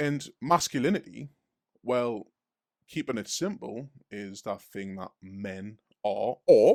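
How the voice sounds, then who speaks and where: A man at a very slow pace, with long, frequent pauses and big swings in loudness, in a dry, close recording with no echo, very clean and silent behind him. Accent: Geordie. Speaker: street preacher and podcast host. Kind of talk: casual chat.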